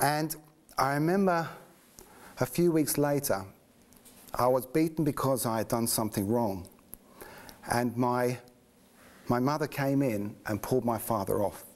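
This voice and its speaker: With a slight English accent, a man talks at a moderate pace and very even loudness, leaving long, frequent pauses. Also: medium pitch for a man, ordinary pitch variation. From England, just north of London. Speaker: interviewee sharing faith story. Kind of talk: personal testimony. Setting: studio.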